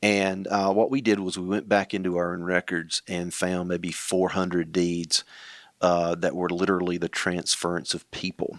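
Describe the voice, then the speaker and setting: The speaker has a North Carolina accent and a monotone, flat delivery at a moderate pace. The sound is dry and close with no echo, on a very clean recording with a silent background. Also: man, very deep, low pitch for a man. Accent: Southern US (North Carolina). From southeastern North Carolina. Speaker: county elected official. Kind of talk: interview conversation.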